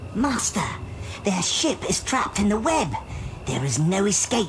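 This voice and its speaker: A cartoonish character voice sits at a fairly high pitch. Loud background noise runs behind it. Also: moderate pace. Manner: eager, excitable.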